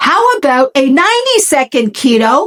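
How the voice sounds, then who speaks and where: A woman's voice with very wide pitch swings. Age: 60s. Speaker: cooking channel host. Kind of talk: cooking tutorial. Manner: casual, hesitant with fillers.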